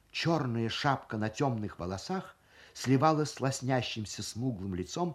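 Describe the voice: The reading aloud is plain, but the intonation moves in a lively way.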